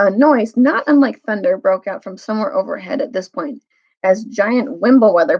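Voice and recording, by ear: Lively intonation carries this reading aloud in a natural voice. Nothing can be heard behind it.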